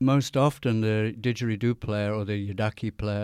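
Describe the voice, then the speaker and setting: Recorded very cleanly with a silent background and a dry, close sound with no echo, a man with an English accent speaks at a fairly low pitch with fairly even intonation. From England. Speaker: didgeridoo player and radio DJ. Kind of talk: radio interview. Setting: radio studio.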